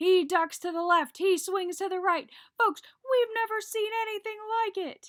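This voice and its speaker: An extremely high female put-on character voice, moderately paced. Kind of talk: excited, play-by-play.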